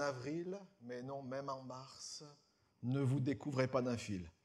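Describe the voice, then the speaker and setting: With a medium pitch and ordinary pitch variation, a man talks at a very slow pace. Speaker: pastor. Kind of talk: church announcements. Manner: hesitant, many fillers.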